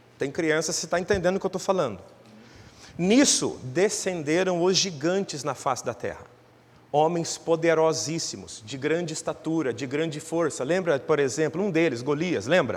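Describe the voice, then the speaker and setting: Speaking at a moderate pace, a man has an unremarkable speaking voice, fairly high in pitch with ordinary variation. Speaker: pastor. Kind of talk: sermon.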